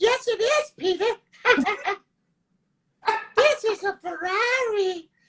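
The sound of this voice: An extremely high-pitched, put-on character voice. The pace is fairly slow.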